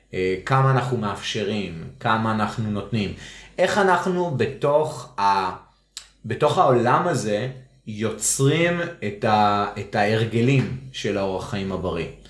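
With a medium pitch, a man delivers his words at a very slow pace and with lively intonation. Audible room echo surrounds his voice. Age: 40s. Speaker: parenting podcast co-host. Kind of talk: casual chat.

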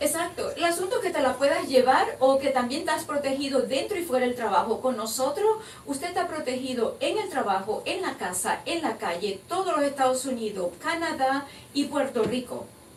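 A woman talks in a high voice with very wide pitch swings. Audible room echo and noticeable background noise surround her. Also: moderate pace. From Venezuela, Maracaibo. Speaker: insurance agent. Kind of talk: interview. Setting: studio.

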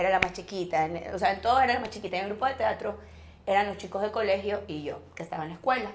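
A woman speaks at a medium pitch with ordinary pitch variation. Room echo is audible. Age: 40s. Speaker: actress. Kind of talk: casual chat.

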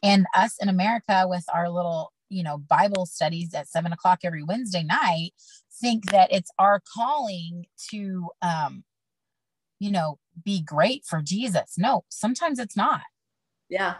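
A woman's medium-pitched, somewhat breathy voice moves at a moderate pace with ordinary pitch variation, in a dry, close sound with no echo. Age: 40s. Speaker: podcast guest sharing testimony. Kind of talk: testimony.

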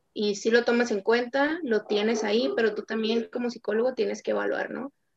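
A woman with a plain, everyday voice speaks at a fairly quick pace, her fairly high pitch held in fairly even intonation. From Tijuana, Baja California, Mexico. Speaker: sports psychologist. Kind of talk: interview.

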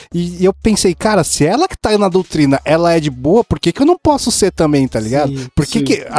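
Lively intonation comes at a fairly quick pace with hardly any pauses, in a dry, close sound with no echo. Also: man, high pitch for a man. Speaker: podcast co-host. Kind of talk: casual chat.

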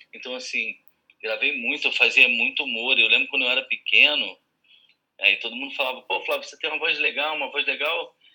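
A man speaks at a fairly quick pace with big swings in loudness. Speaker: voice actor. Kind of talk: casual chat.

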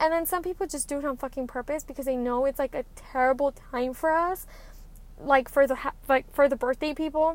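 Talking at a fairly quick pace, a woman uses a high pitch with fairly even intonation. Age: 20s. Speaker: podcast host. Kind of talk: casual monologue.

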